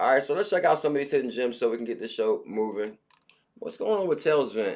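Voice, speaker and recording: This man talks fairly quickly, his pitch shifting in an ordinary way. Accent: New York. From New York. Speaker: crypto livestream host. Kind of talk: casual livestream chat.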